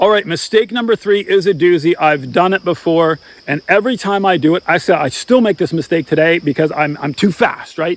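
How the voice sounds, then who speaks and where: A man talks at a fairly quick pace with hardly any pauses, his high pitch carrying an animated tone and ordinary pitch variation, in a dry, close sound with no echo. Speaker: outdoor gear and hunting youtuber. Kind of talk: tutorial. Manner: fast.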